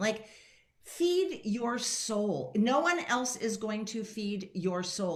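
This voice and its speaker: A woman with an American accent at a very slow pace, with audible room echo and noticeable background noise. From San Francisco, US West Coast. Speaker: leadership coach. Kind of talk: radio interview.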